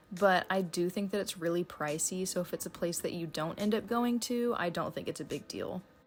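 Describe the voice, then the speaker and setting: A woman with an American accent speaks at a fairly quick pace in a medium pitch with ordinary pitch variation while music plays in the background. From United States. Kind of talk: casual talk to camera.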